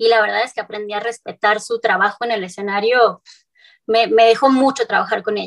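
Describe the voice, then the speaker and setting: An ordinary speaking voice from a woman, pitched fairly high, with fairly even intonation. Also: quiet background. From northern Mexico, Cuauhtémoc, Chihuahua. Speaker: singer-songwriter. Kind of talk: interview.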